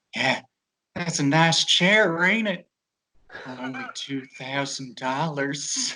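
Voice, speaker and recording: Using a put-on character voice, a man with a fairly high pitch and lively intonation speaks at a very slow pace, leaving long, frequent pauses. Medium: actual play. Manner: folksy, ingratiating salesman patter.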